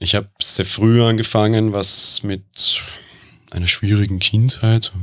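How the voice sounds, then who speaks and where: In a Viennese accent, a man talks at a fairly low pitch. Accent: Viennese Austrian German. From Vienna, Austria. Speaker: podcast editor and insurance worker. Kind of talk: casual interview.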